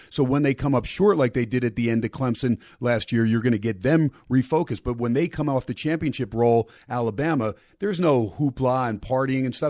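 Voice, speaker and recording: Against a quiet background, a man uses an ordinary speaking voice at a fairly quick pace with lively intonation. The sound is dry and close, with no echo. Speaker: radio host and college football analyst. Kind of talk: sports betting roundtable discussion.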